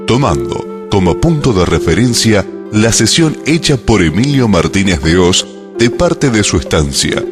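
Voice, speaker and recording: A man speaks at a fairly slow pace with a fairly low pitch and very wide pitch swings, with music in the background. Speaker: documentary narrator. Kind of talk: documentary narration.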